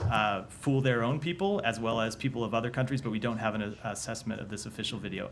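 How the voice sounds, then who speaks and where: With an American accent, a man speaks at a very fast pace with ordinary pitch variation and audible room echo. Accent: Texas accent, usually hidden. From Texas. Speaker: government spokesperson. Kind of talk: press briefing. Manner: measured, with frequent hesitations.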